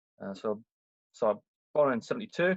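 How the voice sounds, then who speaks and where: With a Scottish accent, a man speaks at a moderate pace in a dry, close sound with no echo. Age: 40s. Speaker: firefighter, ex-Navy. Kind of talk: casual podcast interview. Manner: hesitant, many fillers.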